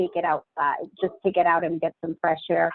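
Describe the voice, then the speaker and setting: At a moderate pace, a woman talks. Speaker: employee sharing remote work tips. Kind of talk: casual group chat. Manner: loud.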